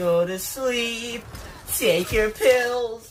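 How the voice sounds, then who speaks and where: Loud and shouting over noticeable background noise, a man with an extremely high pitch speaks at a very slow pace. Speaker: gaming YouTuber. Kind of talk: gameplay commentary. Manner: loud yelling; animated.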